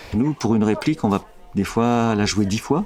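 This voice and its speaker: His pitch shows ordinary variation. The speaker is a man. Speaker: voice director. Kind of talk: interview answer.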